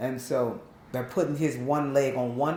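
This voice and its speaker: Amid audible room echo, a woman with a Southern US accent speaks at a very deep, low pitch with ordinary pitch variation. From Long Beach, California, Southern family roots. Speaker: interviewee sharing life story. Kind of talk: interview testimony.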